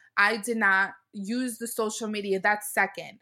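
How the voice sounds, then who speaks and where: In an American accent, a woman speaks at a medium pitch. Her tone is bright and sharp, with ordinary pitch variation. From Brooklyn, New York. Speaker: mommy blogger. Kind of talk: interview.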